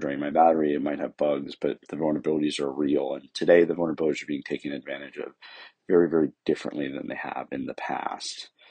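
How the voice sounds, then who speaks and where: Using a fairly quick pace, a man talks at a very deep, low pitch with vocal fry and monotone, flat intonation. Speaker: co-host covering tech and cybersecurity news. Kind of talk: podcast news update.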